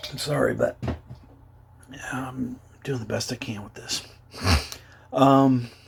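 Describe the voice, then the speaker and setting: Over noticeable background noise, a man talks at a very slow pace and medium pitch in a monotone, flat intonation, with big swings in loudness and long, frequent pauses. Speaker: adult survivor of childhood abuse. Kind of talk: personal testimony to camera. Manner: hesitant, halting.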